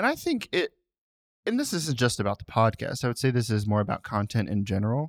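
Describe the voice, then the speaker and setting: Very fast speech on a very clean recording with a silent background, dry and close with no echo. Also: man. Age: 30s. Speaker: podcast co-host. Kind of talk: casual chat.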